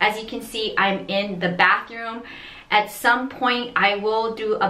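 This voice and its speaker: A woman talks at a fairly slow pace, and audible room echo can be heard around her. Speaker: resin art vlogger. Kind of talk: casual vlog chat. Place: bathroom. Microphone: phone near.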